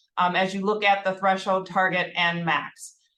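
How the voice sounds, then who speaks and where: At a moderate pace, a woman speaks with a Minnesotan accent. Her medium pitch stays in a monotone, flat intonation. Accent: Minnesota. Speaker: healthcare HR executive. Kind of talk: corporate presentation.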